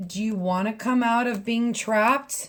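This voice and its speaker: This woman's somewhat breathy voice sits fairly high in pitch as she talks at a moderate pace. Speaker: tarot reader. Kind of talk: tarot reading monologue. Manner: casual, chatty.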